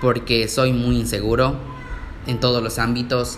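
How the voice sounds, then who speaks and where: Speaking at a fairly slow pace, a man with a medium pitch is heard through audible room echo and noticeable background noise. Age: 20s. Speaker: podcaster, nursing student. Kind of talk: casual monologue.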